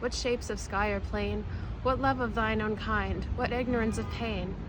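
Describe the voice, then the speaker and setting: Noticeable noise fills the background while a woman speaks rather slowly. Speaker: poetry reader. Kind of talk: poetry reading. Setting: outdoors at a cemetery.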